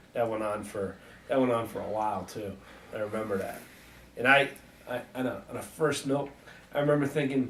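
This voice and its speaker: Amid audible room echo, a man at a medium pitch talks at a fairly quick pace with ordinary pitch variation and long, frequent pauses. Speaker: wrestling podcast co-host. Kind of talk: casual chat. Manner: hesitant, many fillers.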